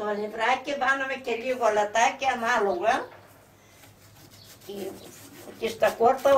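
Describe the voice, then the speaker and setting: Over noticeable background noise, a woman speaks at a high pitch and a fairly slow pace with fairly even intonation. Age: 90s. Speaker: home cook, grandmother. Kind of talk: cooking tutorial. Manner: halting.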